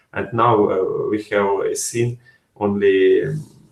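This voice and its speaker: Against a quiet background, a man's voice comes with audible room echo. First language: not English. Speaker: software developer. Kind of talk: interview answers; webinar presentation. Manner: halting. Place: home room. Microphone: webcam.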